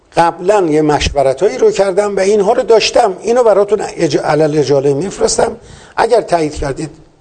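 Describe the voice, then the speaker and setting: A man's high-pitched voice at a fairly quick pace, with lively intonation. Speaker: poultry industry veteran and agricultural engineer. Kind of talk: interview.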